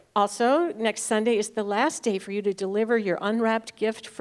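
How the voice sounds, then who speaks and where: An ordinary speaking voice from a woman, fairly high in pitch, with fairly even intonation at a moderate pace. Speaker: church announcements speaker. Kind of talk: church announcements.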